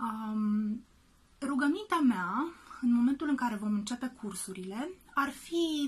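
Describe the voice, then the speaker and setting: Speaking very slowly, a woman uses a high voice with lively intonation. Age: 30s. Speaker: actress and children's drama teacher. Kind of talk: video message to parents. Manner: hesitant with frequent fillers.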